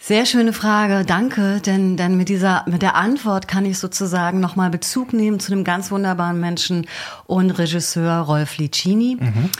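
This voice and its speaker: The recording is very clean with a silent background. The voice keeps a very even loudness, ordinary pitch variation and a moderate pace. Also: woman, medium pitch for a woman. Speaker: actress, dog trainer and hypnotherapist. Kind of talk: radio interview. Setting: radio studio. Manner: storytelling, like a radio play.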